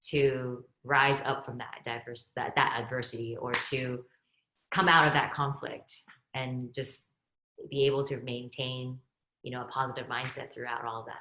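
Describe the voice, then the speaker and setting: A woman with a Chinese accent speaks at a moderate pace in a bright, sharp tone. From Texas, born in Hong Kong. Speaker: investor. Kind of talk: panel discussion.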